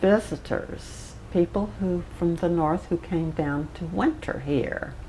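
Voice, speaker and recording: A woman's fairly low voice with an American accent, ordinary pitch variation and a very slow pace, over noticeable background noise. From US South. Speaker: local pioneer interviewee. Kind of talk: oral history interview.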